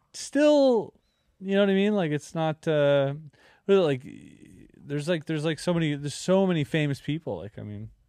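Speaking with a Canadian accent, a man uses a fairly high pitch, a dark, mellow tone and ordinary pitch variation at a fairly quick pace with long, frequent pauses. The sound is dry and close with no echo over a quiet background. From Canada. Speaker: podcast host, magician and YouTuber. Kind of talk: casual chat. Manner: animated.

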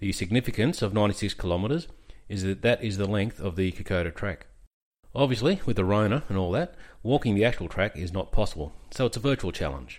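A man with an Australian accent talks at a very fast pace with lively intonation and a fairly low pitch. The recording is very clean, with a silent background. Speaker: military history podcaster, army veteran. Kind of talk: scripted narration.

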